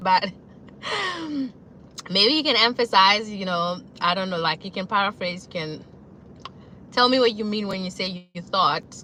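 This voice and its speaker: A woman at medium pitch talks at a moderate pace with ordinary pitch variation, big swings in loudness and long, frequent pauses over noticeable background noise. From South Africa. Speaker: YouTuber. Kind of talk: casual live stream chat.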